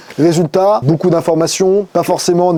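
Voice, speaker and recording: A high-pitched man's voice with a dark, mellow tone. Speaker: digital marketing agency owner. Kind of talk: tutorial. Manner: fast.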